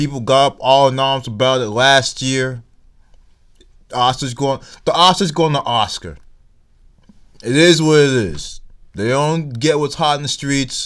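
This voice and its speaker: With a slight Nigerian accent, a man talks at a fairly slow pace, leaving long, frequent pauses, on a very clean recording with a silent background. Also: fairly high pitch for a man, ordinary pitch variation. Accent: weak Nigerian accent, can put it on. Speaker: YouTube commentator. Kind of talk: vlog commentary. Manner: casual, halting with restarts.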